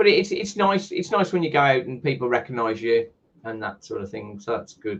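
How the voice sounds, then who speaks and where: A man speaks at a fairly quick pace with a medium pitch and a somewhat breathy tone. His pitch swings very widely, and his loudness rises and falls sharply. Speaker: podcast host. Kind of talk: interview.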